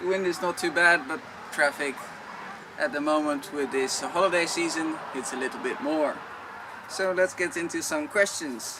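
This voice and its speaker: A man with a Dutch accent speaks at a moderate pace in a fairly high pitch with ordinary pitch variation, against noticeable background noise. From Netherlands. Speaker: vlogger. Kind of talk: Q&A talk to camera.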